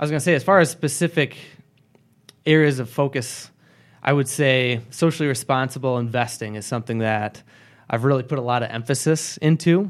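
A man talks with a normal speaking voice at a fairly quick pace. The recording is very clean, with a silent background. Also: medium pitch for a man, ordinary pitch variation. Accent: American. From Michigan, Grand Rapids area. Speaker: financial advisor. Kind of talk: casual interview.

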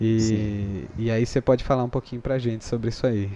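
With a dark, mellow tone, a man speaks at a moderate pace using ordinary pitch variation. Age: 20s. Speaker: YouTuber and filter creator. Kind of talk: casual chat.

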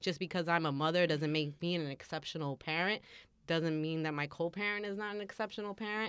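The recording is very clean and the background silent. A plain, everyday voice goes at a fairly quick pace with ordinary pitch variation. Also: woman, fairly low pitch for a woman. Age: 30s. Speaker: podcast host. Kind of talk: casual chat.

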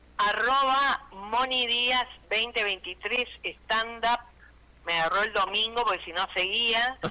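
With an Argentine accent, a woman speaks very slowly in a bright, sharp tone with ordinary pitch variation. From Argentina, Reconquista (Santa Fe). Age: 60s. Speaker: comedian. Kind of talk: stand-up.

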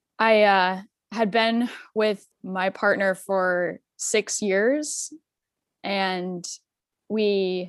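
Here is a woman with a normal speaking voice at medium pitch. Her intonation is fairly even, and the recording is very clean with a silent background. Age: 30s. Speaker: coworker of the host. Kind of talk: casual chat.

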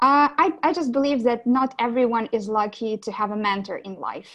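A woman is speaking here. She has a Ukrainian accent. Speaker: business development director. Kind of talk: interview.

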